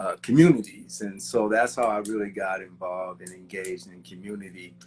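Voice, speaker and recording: A man with a plain, everyday voice speaks at a fairly quick pace and fairly low pitch, with ordinary pitch variation and big swings in loudness. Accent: American. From Kansas, US Midwest. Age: 60s. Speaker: civil engineer. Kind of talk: interview conversation.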